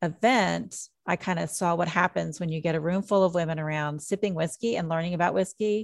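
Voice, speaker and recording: Here is a woman with an unremarkable speaking voice and a fairly low pitch. She keeps a moderate pace and fairly even intonation. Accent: American. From southern Indiana. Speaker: mixologist and author. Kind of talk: interview.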